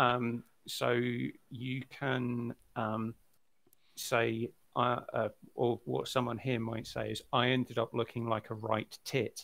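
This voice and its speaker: A man's very slow, monotone, flat delivery with vocal fry and long, frequent pauses. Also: medium pitch for a man. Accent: British. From Britain. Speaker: podcast co-host. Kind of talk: casual chat. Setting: live stream. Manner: hesitant, many ums.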